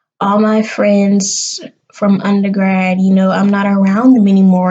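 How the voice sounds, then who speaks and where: A woman's somewhat breathy voice in a Southern US accent. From US South, South Carolina. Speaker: vlogger, graduate student. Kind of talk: casual vlog to camera. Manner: animated.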